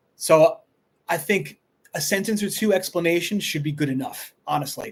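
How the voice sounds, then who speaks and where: This man speaks with a Long Island accent. His pitch sits high. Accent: New York (Long Island). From Long Island, New York. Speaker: high school history teacher. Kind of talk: live stream Q&A. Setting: live stream on laptop. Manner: fast.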